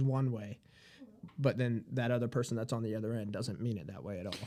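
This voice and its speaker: Ordinary pitch variation from a man. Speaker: podcast co-host. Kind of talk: casual chat. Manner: loud.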